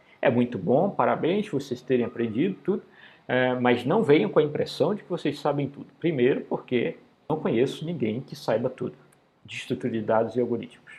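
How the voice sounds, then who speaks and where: A man with a medium-pitched, somewhat breathy voice moves along fairly quickly, his intonation lively. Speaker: university professor. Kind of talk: lecture. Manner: fast; casual, conversational.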